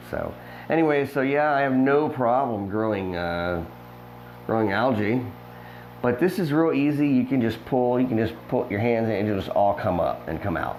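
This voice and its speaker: Lively, medium-pitched male voice at a moderate pace, with audible room echo. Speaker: fish breeder and aquarium hobbyist. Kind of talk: casual video tour. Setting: indoors in a fish room. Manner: casual with many fillers.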